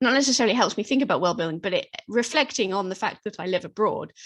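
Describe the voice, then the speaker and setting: A woman with a British accent and lively intonation against a quiet background. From Britain. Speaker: fantasy author. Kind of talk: interview. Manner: halting.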